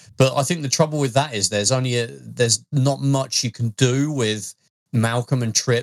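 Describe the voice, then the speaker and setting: A man with an East Midlands accent, dry, close sound with no echo, in a very clean recording over a silent background. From Leicester, English Midlands. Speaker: podcast co-host. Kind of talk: casual chat.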